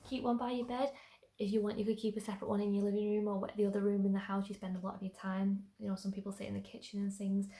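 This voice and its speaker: A woman talks at a medium pitch. Her intonation is fairly even. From northern England, Manchester. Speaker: YouTuber sharing personal tips. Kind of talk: casual vlog tutorial. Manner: fast.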